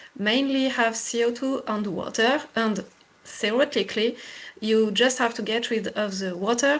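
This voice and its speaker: Here is a woman with a French accent. Her pitch sits fairly high. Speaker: engineer presenting a pilot project. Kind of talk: technical webinar presentation.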